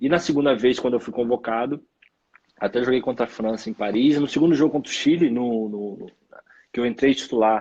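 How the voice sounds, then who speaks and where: A medium pitch carries this man's speech. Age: 30s. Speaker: professional footballer. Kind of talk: interview. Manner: halting.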